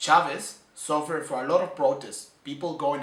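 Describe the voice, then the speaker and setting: A man talks at a moderate pace with ordinary pitch variation. Audible room echo and noticeable background noise surround his voice. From Venezuela. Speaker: student. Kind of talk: personal commentary. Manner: halting.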